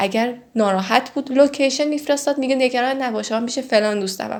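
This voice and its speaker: Her pace is fairly quick and her pitch high. The woman's pitch shows ordinary variation. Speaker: true crime storyteller. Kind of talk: casual storytelling. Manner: conversational.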